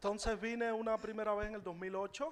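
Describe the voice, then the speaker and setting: Against noticeable background noise, a man speaks with a Cuban accent. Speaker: musician. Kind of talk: testimony. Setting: church. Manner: halting.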